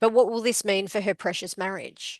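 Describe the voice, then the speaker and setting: Recorded dry and close with no echo over a quiet background, a woman with a strong Australian accent speaks at a medium pitch with ordinary variation and vocal fry. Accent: very Australian. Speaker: podcast co-host. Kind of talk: reading aloud book blurbs.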